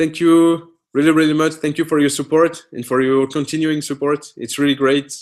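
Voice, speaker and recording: A man with a fairly high pitch speaks at a moderate pace in a non-native accent. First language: French. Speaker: author and host of a live Q&A. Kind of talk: live Q&A stream. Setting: live online video stream. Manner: halting, many fillers and restarts.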